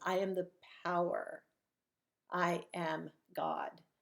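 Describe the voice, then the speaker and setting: A put-on character voice, raspy and very slow. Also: woman, fairly low pitch for a woman. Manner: commanding.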